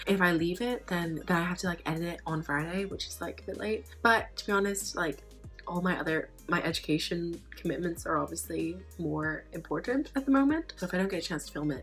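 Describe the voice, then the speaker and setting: Music plays behind a woman as she talks at a fairly quick pace. She hardly pauses at all. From United Kingdom. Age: 20s. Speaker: student and book vlogger. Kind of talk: casual talk to camera.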